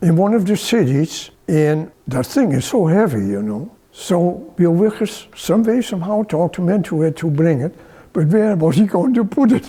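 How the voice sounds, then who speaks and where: A man talks at a high pitch. His voice makes very wide pitch swings. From Netherlands. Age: 90s. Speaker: retired original manager of a garden site. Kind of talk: interview.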